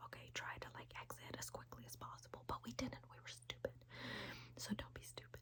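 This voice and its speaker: Whispering at a fairly quick pace comes from a woman. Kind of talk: ASMR whisper storytelling to camera. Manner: whispered, chatty.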